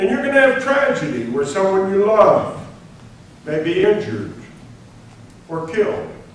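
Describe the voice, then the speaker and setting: A man's high voice with very wide pitch swings, a moderate pace and long, frequent pauses, amid noticeable background noise and audible room echo. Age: 80s+. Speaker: retired senior enlisted military leader. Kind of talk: lecture.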